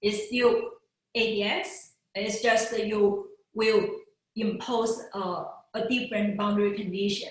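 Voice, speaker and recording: A woman's somewhat breathy, fairly high voice at a fairly slow pace, with ordinary pitch variation, long, frequent pauses and audible room echo. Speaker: physicist giving a research talk. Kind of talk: lecture. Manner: halting, many fillers.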